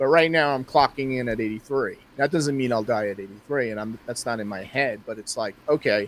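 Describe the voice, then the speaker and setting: Over noticeable background noise, a man talks at a fairly quick pace with hardly any pauses, a medium pitch and ordinary pitch variation. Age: 60s. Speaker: astrologer. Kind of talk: interview conversation.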